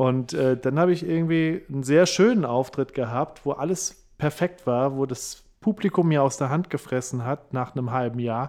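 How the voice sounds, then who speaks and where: A man with a normal speaking voice talks at a moderate pace, his pitch fairly high for a man and his pitch variation ordinary. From Saarland, near French border. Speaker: comedian and radio host. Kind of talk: casual interview.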